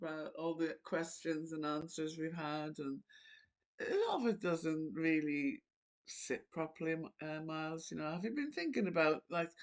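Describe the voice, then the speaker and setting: This woman speaks in an Irish accent at a moderate pace. Her pitch sits fairly low, with ordinary pitch variation. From Ireland. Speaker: channel host talking to an AI voice. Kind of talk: casual chat.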